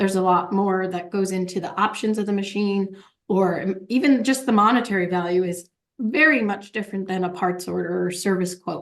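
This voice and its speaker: A woman's medium-pitched voice in an American accent, fairly quick, with ordinary pitch variation. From New York State, Warwick area. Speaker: operations manager, podcast guest. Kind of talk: interview conversation. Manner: animated.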